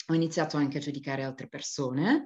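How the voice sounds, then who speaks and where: A woman is speaking. The background is quiet. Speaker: stress and burnout coach. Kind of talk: talk to an online audience. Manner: soft, gentle.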